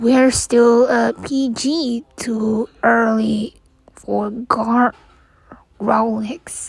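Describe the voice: A woman does a put-on character voice at a very slow pace, fairly high in pitch with little pitch movement. There is vocal fry and a slightly husky edge.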